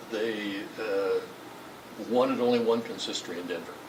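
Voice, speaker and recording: A man talks at a fairly slow pace, with noticeable background noise and audible room echo. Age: 80s+. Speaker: Masonic lodge treasurer and longtime member. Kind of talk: interview. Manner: halting, many fillers and repeats.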